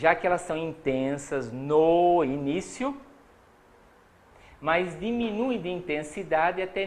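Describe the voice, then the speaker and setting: Here a man speaks at a high pitch with lively intonation. Audible room echo surrounds the voice. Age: old. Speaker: psychology professor. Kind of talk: lecture.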